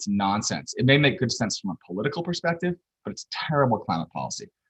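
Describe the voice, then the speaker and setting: A man's very fast speech with vocal fry and very wide pitch swings, in a dry, close sound with no echo. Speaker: policy researcher presenter. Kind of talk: lecture.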